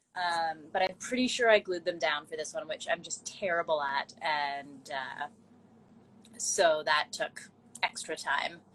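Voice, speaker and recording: Using a plain, everyday voice, a woman with fairly low pitch speaks at a fairly slow pace with ordinary pitch variation. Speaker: cosplayer and makeup artist. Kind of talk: casual chat.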